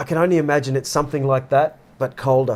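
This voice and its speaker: The speaker has an Australian accent. The intonation is fairly even. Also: man. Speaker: podcast co-host. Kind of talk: casual discussion. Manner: halting.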